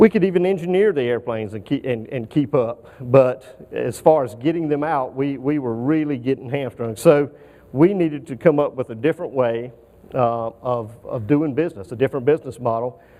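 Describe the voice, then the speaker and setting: In a Southern US accent, a man with a medium pitch talks at a fairly quick pace with ordinary pitch variation. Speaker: aerospace engineering manager. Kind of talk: conference presentation. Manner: halting, many fillers.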